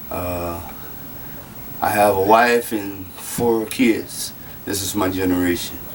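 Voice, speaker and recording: A man with an American accent speaks at a very slow pace, fairly low in pitch, in a monotone, flat intonation with long, frequent pauses. Audible room echo and noticeable background noise fill the recording. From Louisiana, Lafayette. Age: 40s. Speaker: citizen making a grievance video. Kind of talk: personal testimony. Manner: halting, many fillers.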